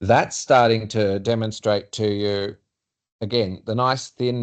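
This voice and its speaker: In an Australian accent, a man speaks at a medium pitch with monotone, flat intonation over a quiet background. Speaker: urban designer presenting to client. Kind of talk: work meeting presentation.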